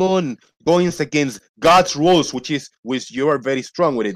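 Against a quiet background, a man with a fairly high pitch talks at a fairly quick pace with lively intonation. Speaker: debate participant. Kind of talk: heated debate. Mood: challenging, argumentative. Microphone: video call.

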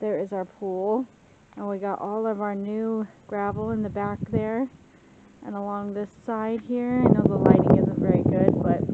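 Loud background noise sits behind a woman speaking at a moderate pace. The sound is dry, with no echo. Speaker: home vlogger. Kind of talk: casual vlog chat. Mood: cheerful, relaxed. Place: garden. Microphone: phone near.

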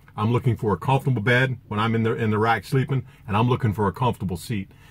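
A man's voice comes through somewhat breathy. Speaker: truck driver vlogger. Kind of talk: product review vlog. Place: car. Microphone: phone near.

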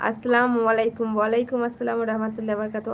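At a fairly high pitch, a woman talks in an ordinary speaking voice. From West Bengal, India (Birbhum district). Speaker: family vlogger and live streamer. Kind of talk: live stream, reading and answering viewer comments. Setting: live stream.

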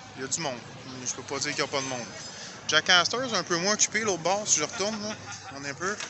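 A man at a high pitch and very fast pace, with lively intonation, big swings in loudness and long, frequent pauses, in a dry sound with no echo and noticeable background noise. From Quebec. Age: 50s. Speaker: YouTuber; vlogger. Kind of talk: walking vlog commentary; casual vlog chat. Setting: outdoors. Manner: halting. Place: street. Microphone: phone near.

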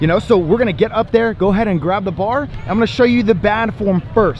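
A man's voice with a dry sound and no echo, against noticeable background noise. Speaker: fitness coach. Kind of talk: tutorial. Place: beach. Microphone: phone near.

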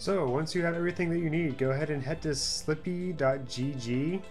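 A man with ordinary pitch variation, faint music in the background. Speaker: streamer making a tutorial. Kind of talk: tutorial. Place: home room.

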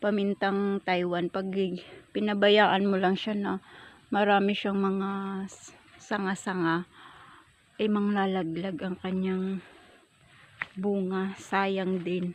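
Speaking very slowly with long, frequent pauses, a woman keeps a medium pitch and a flat, monotone intonation. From Surigao, Mindanao, Philippines. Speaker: farm vlogger. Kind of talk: casual vlog tutorial. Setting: outdoors on a pepper farm.

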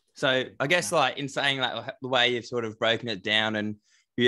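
The speaker is a man with an Australian accent and a medium pitch. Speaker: podcast co-host. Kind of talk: casual chat.

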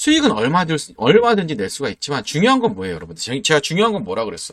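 Very wide pitch swings and vocal fry mark a man's animated tone as he talks at a very fast pace. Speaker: stock market YouTuber. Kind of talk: sales pitch. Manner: emphatic.

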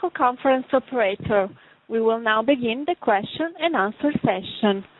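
Here a woman speaks with lively intonation at a moderate pace. The sound is dry and close, with no echo.

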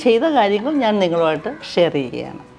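The voice moves through very wide pitch swings while faint music plays in the background. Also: woman. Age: 70s. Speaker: beauty and lifestyle vlogger. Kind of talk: casual talk to camera. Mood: warm, cheerful. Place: home room.

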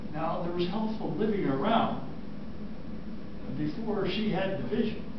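A man speaks at a fairly slow pace. The recording carries strong room echo and noticeable background noise. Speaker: retired cardiothoracic surgeon. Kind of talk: interview answer. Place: classroom. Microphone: camera far.

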